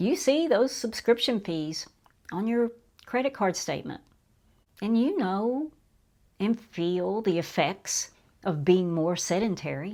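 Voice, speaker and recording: A woman's fairly high voice, very slow, with very wide swings in pitch. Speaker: YouTube commentator. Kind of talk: casual monologue.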